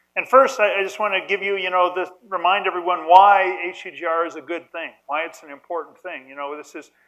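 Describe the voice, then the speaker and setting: Here a man speaks at a fairly quick pace in a high voice. His intonation stays fairly even. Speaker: nuclear engineer, symposium panelist. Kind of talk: conference panel talk. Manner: loud; halting, many repetitions.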